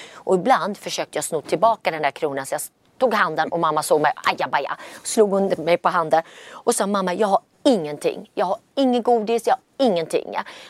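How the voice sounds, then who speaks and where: A woman's normal speaking voice, lively in intonation and fairly quick, on a very clean recording with a silent background and a dry, close sound with no echo. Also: medium pitch for a woman. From Gothenburg, Sweden. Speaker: entrepreneur. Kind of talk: interview.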